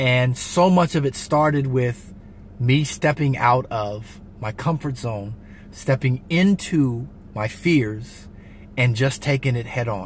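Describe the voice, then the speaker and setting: With an American accent, a man talks at a very slow pace in a somewhat breathy voice with ordinary pitch variation, the sound dry with no echo and light background noise. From US West Coast (San Diego, California); California. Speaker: vlogger giving motivational talk. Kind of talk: motivational vlog monologue. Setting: in a car. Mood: reflective, earnest. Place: car. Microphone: phone near.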